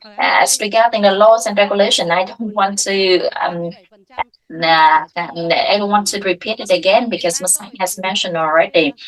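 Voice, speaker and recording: Speaking at a moderate pace, a woman with a Vietnamese accent uses a medium pitch and ordinary pitch variation. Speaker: water sector association representative. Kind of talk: panel discussion. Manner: halting, many fillers.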